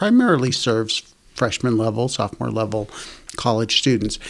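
In an American accent, a man with a normal speaking voice talks at a moderate pace and medium pitch, with fairly even intonation. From Boston area, Massachusetts. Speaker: technical college administrator. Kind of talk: interview.

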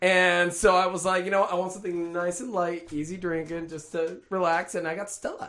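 Fast-ish and high-pitched, a man talks at a fairly quick pace with hardly any pauses. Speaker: podcast host. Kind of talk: casual chat. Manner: loud, excitable.

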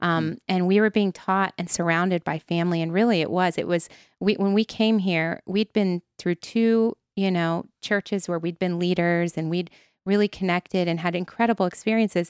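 In an American accent, a woman with a plain, everyday voice speaks at a moderate pace and medium pitch with fairly even intonation, recorded dry and close with no echo against a silent background. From US Midwest, Ohio. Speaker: ministry founder. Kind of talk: faith testimony in casual conversation.

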